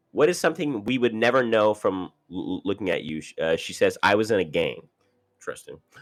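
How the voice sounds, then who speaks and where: Talking at a fairly quick pace, this man's voice swings widely in loudness. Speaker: reality TV commentator. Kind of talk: casual commentary reading cast bios. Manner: fast; halting, many repetitions.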